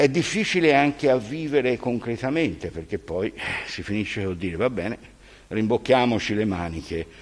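A man's pitch rises and falls across a very wide range as he speaks. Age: 80s+. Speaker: teacher, speaker at regional council commemoration; teacher, council speaker. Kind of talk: commemorative speech; formal speech. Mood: reflective, grave. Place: hall. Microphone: podium.

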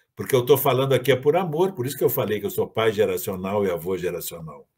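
Against a quiet background, a man speaks very fast with vocal fry and lively intonation. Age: 70s. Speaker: agronomist and environmental activist; guest. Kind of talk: lecture. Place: home room. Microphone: webcam.

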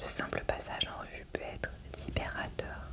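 Someone is whispering, soft-spoken, at a moderate pace. Loud background noise sits behind the voice. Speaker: reader. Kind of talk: reading aloud from a self-help book. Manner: soft whispered reading.

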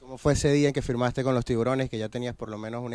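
A man talks very fast in a flat monotone, the sound dry with no echo at all. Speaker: sports interviewer. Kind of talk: interview questions. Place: stadium. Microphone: handheld.

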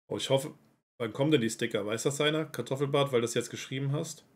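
This man talks at a very fast pace, with ordinary pitch variation. Long pauses break up his speech often. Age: 30s. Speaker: esports organization representative. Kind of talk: casual livestream Q&A.

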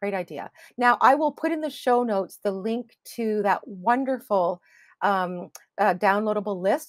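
A woman talks at medium pitch with lively intonation. The background is quiet. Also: dry sound with no echo. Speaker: interview show host; podcast host interviewer. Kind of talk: interview. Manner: enthusiastic. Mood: warm, enthusiastic. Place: home room.

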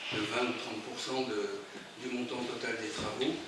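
A man's voice amid noticeable background noise and strong room echo. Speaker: speaker. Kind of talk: informal presentation to audience. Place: hall. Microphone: camera far.

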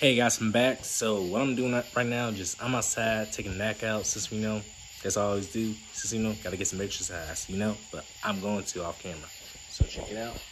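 This man has an ordinary speaking voice, pitched fairly low, with fairly even intonation at a fairly quick pace. Light background noise sits behind him. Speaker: vlogger. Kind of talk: casual vlog chat. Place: garage. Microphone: phone near.

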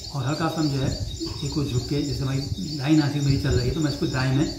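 Moderate pace over noticeable background noise. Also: man. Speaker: yoga instructor. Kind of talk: yoga tutorial instruction to camera. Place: home room. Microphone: camera far.

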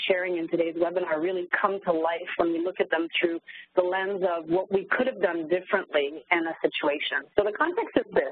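A woman talks at a fairly quick pace in a French Canadian accent. Her medium pitch holds fairly even intonation. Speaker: corporate training facilitator. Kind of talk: webinar presentation. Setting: online webinar call.

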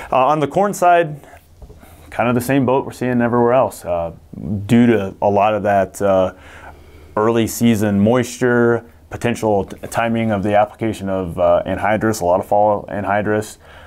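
With a Midwestern American accent, a man talks at a moderate pace in a fairly low pitch, using ordinary pitch variation and long, frequent pauses. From Missouri. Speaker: seed company agronomy staff. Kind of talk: casual chat. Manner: frequent fillers, hesitant. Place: meeting room. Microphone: lapel.

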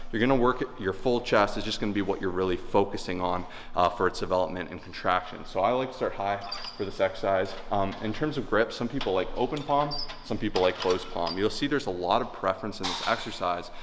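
Against noticeable background noise, a man with a fairly low voice speaks at a very fast pace, his pitch varying in an ordinary way. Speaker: fitness coach. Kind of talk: tutorial. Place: gym.

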